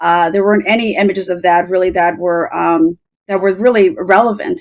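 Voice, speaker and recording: At a fairly quick pace, a woman with an unremarkable speaking voice and an American accent talks at a medium pitch. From Los Angeles, US. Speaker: media executive. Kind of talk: panel discussion.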